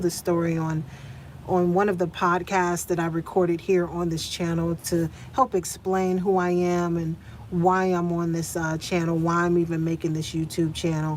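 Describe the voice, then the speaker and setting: A woman's fairly low voice in a monotone, flat intonation at a moderate pace. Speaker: van-life vlogger. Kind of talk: live stream chat. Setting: inside a van. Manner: stuttering, repetitive fillers.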